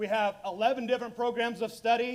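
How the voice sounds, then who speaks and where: An extremely high-pitched man with an animated tone at a moderate pace. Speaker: school district career and technical education director. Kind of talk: panel discussion.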